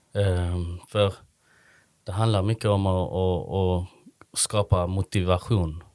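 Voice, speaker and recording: A man with a very deep, low pitch speaks at a very slow pace in a monotone, flat intonation, recorded very cleanly against a silent background with a dry, close sound and no echo. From Sweden, Malmö. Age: 30s. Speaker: social entrepreneur, event organiser. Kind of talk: interview. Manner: halting, many fillers.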